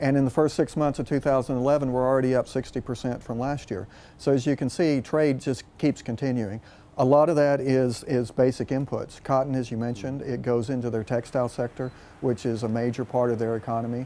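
A man with a West Texas accent speaks at a fairly quick pace. His dark, mellow tone sits at a medium pitch, with fairly even intonation. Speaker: agricultural diplomat. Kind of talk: news interview. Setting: on location in Ankara. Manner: halting, many fillers. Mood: calm, informative. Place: garden. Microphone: lapel.

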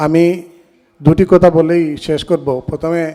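This man's voice has a dark, mellow tone. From Bangladesh. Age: 50s. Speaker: member of a literary society. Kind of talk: speech at an anniversary event.

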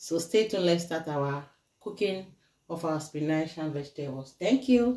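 In a room with audible echo but a quiet background, a woman speaks at a moderate pace in a fairly low pitch with a dark, mellow tone. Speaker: home cook vlogger. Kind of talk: cooking tutorial chat. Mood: grateful, cheerful. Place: kitchen. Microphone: phone near.

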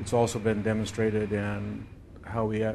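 Light background noise accompanies a man as he speaks. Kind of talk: interview answer. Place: office.

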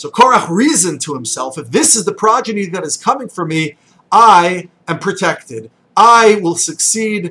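At a moderate pace, a man with a bright, sharp tone projects a raised voice, his pitch swinging very widely. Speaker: religious teacher. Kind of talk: short sermon. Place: office. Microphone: webcam.

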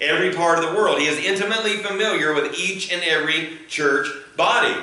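At a fairly quick pace, a man talks with ordinary pitch variation while audible room echo surrounds him. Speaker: pastor. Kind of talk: sermon. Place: church. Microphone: camera far.

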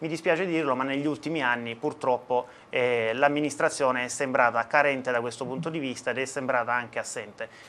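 A man's bright, sharp voice with fairly even intonation. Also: medium pitch for a man, fairly quick pace. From southern Italy, Apulia (Taranto province); Apulia, Italy. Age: 30s. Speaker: mayoral candidate; candidate. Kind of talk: election debate. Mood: calm, measured, formal. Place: studio. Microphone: lapel.

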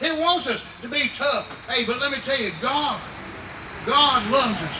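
Through noticeable background noise, a man with an extremely high pitch talks at a moderate pace with ordinary pitch variation. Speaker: preacher. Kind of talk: revival sermon. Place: tent.

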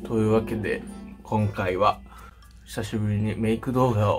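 A man is speaking. Clear music plays behind him. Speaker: makeup YouTuber. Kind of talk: casual talk to camera. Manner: chatty, fast. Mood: chatty, slightly deflated. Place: home room. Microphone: phone near.

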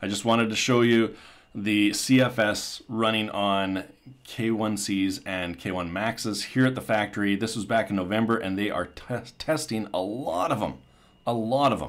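Fairly slow and fairly low in pitch, a man speaks in an excited tone. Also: ordinary pitch variation. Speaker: tech YouTuber. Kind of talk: video voiceover. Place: factory. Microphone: phone near.

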